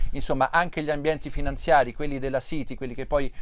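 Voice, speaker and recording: A man speaks at a fairly high pitch for a man, with ordinary pitch variation. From Italy. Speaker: TV news presenter. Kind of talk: live news broadcast. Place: street. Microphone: lapel.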